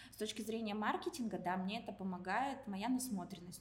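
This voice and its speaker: A woman at medium pitch speaks at a moderate pace with ordinary pitch variation. Noticeable background noise and audible room echo surround her. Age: 30s. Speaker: IT company director and career consultant. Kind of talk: casual interview. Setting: recording at a university building.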